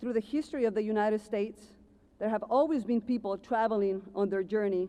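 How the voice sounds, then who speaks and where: Fairly quick and fairly high-pitched, a woman speaks with a dark, mellow tone and ordinary pitch variation. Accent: Ecuadorian. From Ecuador. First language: Spanish. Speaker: commencement speaker, car dealership manager. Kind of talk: commencement speech.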